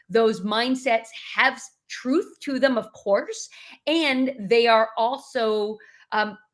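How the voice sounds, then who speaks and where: Speaking very slowly, a woman with an American accent uses a fairly high pitch, ordinary pitch variation and big swings in loudness. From New York. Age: 50s. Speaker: leadership communication coach. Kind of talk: interview.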